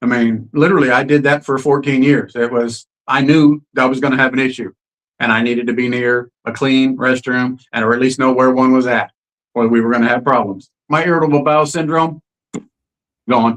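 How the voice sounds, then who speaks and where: A man with an ordinary speaking voice talks at a fairly quick pace. His pitch is medium and his intonation fairly even. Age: 60s. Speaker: interview guest sharing health story. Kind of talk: testimony. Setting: live stream.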